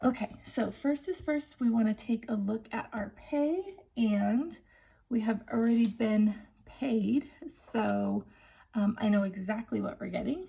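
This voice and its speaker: Speaking at a very slow pace with long, frequent pauses, a woman has a somewhat breathy, dark, mellow tone, a fairly high pitch and ordinary pitch variation. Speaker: budgeting vlogger. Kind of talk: tutorial. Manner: casual, chatty.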